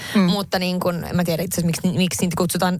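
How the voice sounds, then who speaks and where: A woman talking at a very fast pace. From northern Finland. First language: Swedish (speaking Finnish). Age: 30s. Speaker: podcast co-host and entrepreneur. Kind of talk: casual chat.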